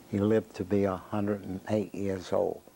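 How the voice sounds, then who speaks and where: A man with a Southern US accent, fairly low in pitch and monotone, flat in intonation. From US South, Jacksonville, Florida. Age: 70s. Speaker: interviewee telling life story. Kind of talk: oral history interview. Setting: own living room.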